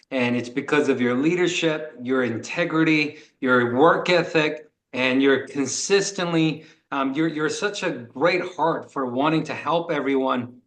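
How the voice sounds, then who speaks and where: A man with a fairly high pitch speaks at a fairly slow pace with ordinary pitch variation, and room echo can be heard. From Korea. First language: Korean. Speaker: sales executive. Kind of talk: motivational talk on video call. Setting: video call.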